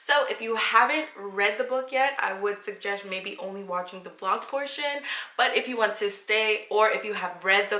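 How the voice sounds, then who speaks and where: Noticeable background noise sits behind this woman's voice. She has a fairly high pitch, ordinary pitch variation and a moderate pace. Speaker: book vlogger. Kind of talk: vlog book chat. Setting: at work. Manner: animated.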